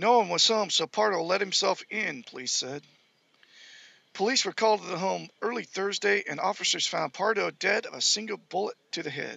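The speech moves at a moderate pace, with a dry sound and no echo. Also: man. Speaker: amateur web show host. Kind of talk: reading news aloud. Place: home room. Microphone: headset.

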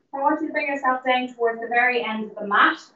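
Talking at a fairly quick pace, a woman with a high pitch is heard with audible room echo. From Ireland. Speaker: fitness instructor. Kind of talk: live-streamed guided Pilates and breathing cool-down class. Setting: in the gym, streamed live via call. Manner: encouraging, repetitive counting down of reps. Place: gym. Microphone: camera far.

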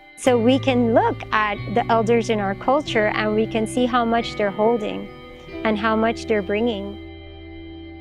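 Clear music plays behind a woman's voice, and the sound is dry with no echo. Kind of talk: interview answer. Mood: calm, reflective, earnest. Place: forest.

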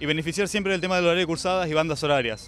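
The man's voice is fairly high-pitched with ordinary pitch variation, recorded with a dry sound and no echo. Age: 20s. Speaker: engineering student, student union candidate; candidate. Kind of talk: campaign pitch. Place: street. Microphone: handheld.

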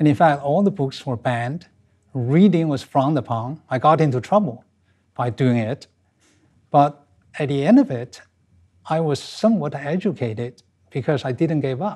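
A man speaks at a moderate pace with a dark, mellow tone, somewhat breathy, and lively intonation. Long, frequent pauses break up his speech against a quiet background. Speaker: interview guest. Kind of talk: interview answer. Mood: reflective, occasionally smiling. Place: studio. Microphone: lapel.

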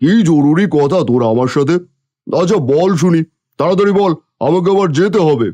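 A man puts on a cartoonish character voice at a high pitch. He keeps a moderate pace. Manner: domineering, scornful.

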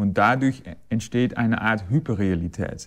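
Someone with a Dutch accent talks at a moderate pace with ordinary pitch variation. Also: man. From Netherlands. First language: Dutch (speaking German). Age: 40s. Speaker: recorder player and conductor. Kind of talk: interview. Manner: halting, many fillers and repetitions. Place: hall. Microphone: lapel.

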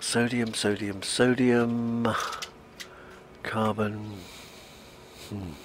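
Amid noticeable background noise, a man with a British accent speaks very slowly at a medium pitch in a monotone, flat intonation, with long, frequent pauses. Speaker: gaming video creator. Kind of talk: casual gameplay commentary. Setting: home recording, playing on console.

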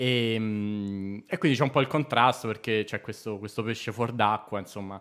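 A man speaks fairly low in pitch, at a moderate pace and with fairly even intonation, over a quiet background. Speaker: comedy writer; podcast guest. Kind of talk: casual chat. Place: studio. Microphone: studio mic.

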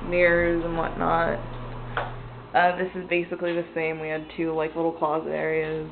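Noticeable background noise sits behind a woman speaking at a fairly slow pace. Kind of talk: casual vlog chat. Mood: relaxed, casually pleased. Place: home room. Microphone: phone near.

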